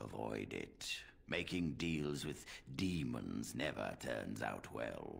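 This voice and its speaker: In a put-on character voice, a man speaks at a very deep, low pitch. His pace is very slow. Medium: video game. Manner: formal, measured.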